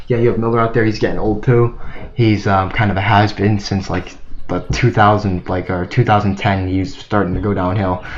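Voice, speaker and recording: Here a man speaks at a fairly quick pace. His intonation is flat and monotone, and background noise is noticeable. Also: fairly low pitch for a man. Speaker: sports channel youtuber. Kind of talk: casual sports commentary monologue. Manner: halting, stuttering; mumbling. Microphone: cheap low-quality microphone.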